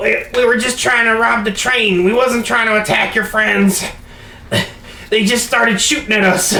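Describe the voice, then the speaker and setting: A put-on character voice in a fairly high pitch comes at a moderate pace. Background noise is clearly heard. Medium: actual play. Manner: stammering.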